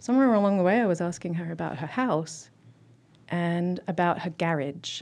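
Against a quiet background, a woman with a southern English accent speaks at a moderate pace in a fairly low pitch with ordinary pitch variation. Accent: mainstream southern English. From Southeast England. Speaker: linguistics professor. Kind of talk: interview. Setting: studio.

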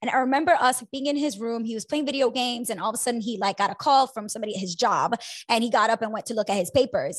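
In a somewhat breathy, animated voice, a woman talks at a very fast pace against a quiet background. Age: 30s. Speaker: personal finance podcast host. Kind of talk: casual chat.

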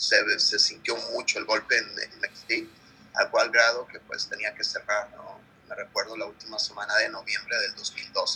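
At a fairly slow pace, a man talks with long, frequent pauses. There are big swings in his loudness. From Mexico, Guerrero. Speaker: chef. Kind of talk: interview. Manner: halting, with fillers.

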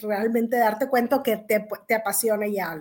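A woman talks at a moderate pace in a plain, everyday voice. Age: 40s. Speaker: economist. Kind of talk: interview.

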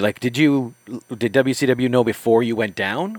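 A man speaks in a normal speaking voice at a medium pitch and moderate pace, his pitch varying in an ordinary way. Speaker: co-host and interviewer. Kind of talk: casual interview chat, questioning.

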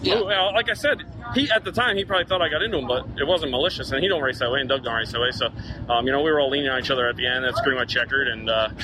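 A man at a medium pitch and a very fast pace, over noticeable background noise. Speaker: race car driver. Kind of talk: post-race interview.

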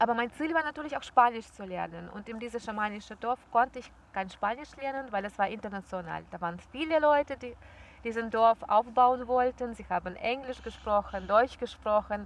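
A woman's fairly high voice at a moderate pace, with ordinary pitch variation and big swings in loudness. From Belarus. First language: Russian (speaking German). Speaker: yoga teacher and traveller. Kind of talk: casual interview. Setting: outdoors in a park.

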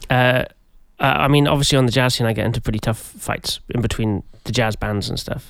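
Speaking at a fairly quick pace with vocal fry, a man keeps a medium pitch and fairly even intonation. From Wales. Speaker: jazz musician and podcast host. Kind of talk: comedic casual interview. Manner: halting, many fillers.

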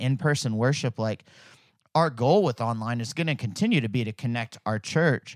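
A man's normal speaking voice with an American accent, fairly quick and with ordinary pitch variation, in a dry, close, very clean recording with a silent background and no echo. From Fayetteville, Arkansas, US South. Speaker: church staff leader (navigator). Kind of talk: casual interview chat.

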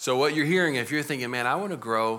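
A man with a Texas accent speaks in a bright, sharp tone on a very clean recording with a silent background. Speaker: pastor. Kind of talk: church interview. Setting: church with congregation.

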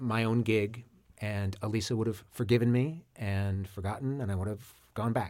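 A man's dark, mellow voice at a fairly slow pace. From Maine. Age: 30s. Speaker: furniture maker. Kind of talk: casual chat. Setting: studio. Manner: halting.

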